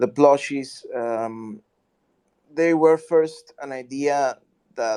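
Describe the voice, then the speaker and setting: In a non-native accent, the speaker talks with monotone, flat intonation in a dry, close sound with no echo. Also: man. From Mexico. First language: Spanish. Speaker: artist and community member. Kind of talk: casual chat. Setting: online audio chat room. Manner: halting.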